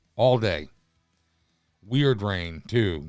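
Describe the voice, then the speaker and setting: A man speaks with lively intonation. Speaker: podcast host. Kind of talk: casual monologue. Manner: hesitant, filler-heavy.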